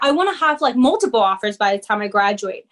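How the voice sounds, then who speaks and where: A woman is speaking. She has a Spanish accent. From Peru, moved to New Jersey at 13. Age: young. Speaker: corporate sales lead and community founder. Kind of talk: interview. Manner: animated.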